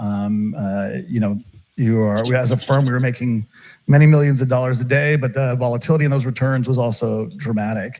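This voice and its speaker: A man with an American accent talks at a fairly quick pace. He has an unremarkable speaking voice. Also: medium pitch for a man, ordinary pitch variation. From Turkey and Texas. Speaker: options trader. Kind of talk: interview conversation. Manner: many filler words and restarts.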